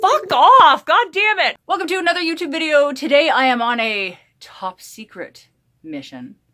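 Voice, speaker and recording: Raised and projected, a woman's voice swings very widely in pitch. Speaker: goth youtuber. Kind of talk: casual vlog bloopers.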